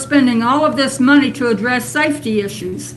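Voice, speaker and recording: A woman speaks with a high pitch and lively intonation. The room echo is audible and the background noise is noticeable. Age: 70s. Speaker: public commenter at city council. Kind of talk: public comment at council meeting.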